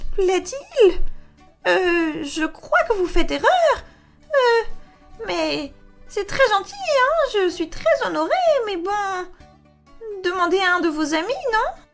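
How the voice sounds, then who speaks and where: A woman uses a squeaky, put-on character voice at an extremely high pitch. She speaks at a very slow pace with long, frequent pauses over music in the background. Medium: audio drama. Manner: hesitant.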